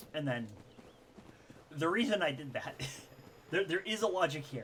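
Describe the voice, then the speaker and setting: The speech has lively intonation and a moderate pace. Noticeable background noise can be heard. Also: man, high pitch for a man. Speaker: video game streamer. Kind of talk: casual live gameplay commentary. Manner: halting, many fillers.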